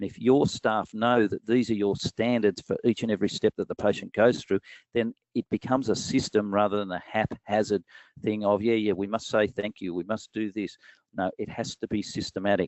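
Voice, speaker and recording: Speaking at a fairly quick pace, a man holds a fairly low pitch in a monotone, flat intonation. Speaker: dental practice business presenter. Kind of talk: webinar presentation. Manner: fast.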